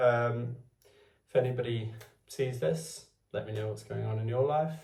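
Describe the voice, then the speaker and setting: A man with a Welsh accent, medium-pitched and somewhat breathy, his intonation fairly even, with audible room echo. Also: moderate pace. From Wales. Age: 20s. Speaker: vlogger. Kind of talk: casual talk to camera. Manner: halting, hesitant.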